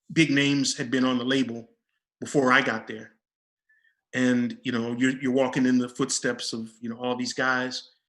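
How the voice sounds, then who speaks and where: A man speaks with an American accent at a moderate pace. His pitch sits at a medium level. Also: long, frequent pauses. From Detroit, US Midwest. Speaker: techno DJ. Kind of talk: casual chat.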